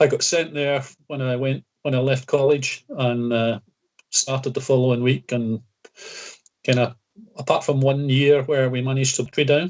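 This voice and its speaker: In a west of Scotland accent, a man speaks at a medium pitch and a moderate pace. His intonation stays monotone and flat, with long, frequent pauses. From Scotland, Greenock (west coast). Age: 60s. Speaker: retired county badminton player. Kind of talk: casual interview chat. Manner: halting, many fillers.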